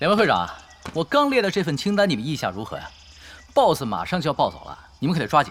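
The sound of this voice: A man puts on a character voice with a fairly high pitch and a fairly bright tone. He moves at a fast pace with very wide pitch swings.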